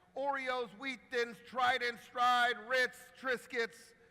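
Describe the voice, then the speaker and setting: In a raised, projected voice, a man with an American accent speaks with an animated, bright and sharp tone. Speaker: marketing executive and keynote speaker. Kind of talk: keynote talk. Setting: stage with audience and live translation. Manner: fast.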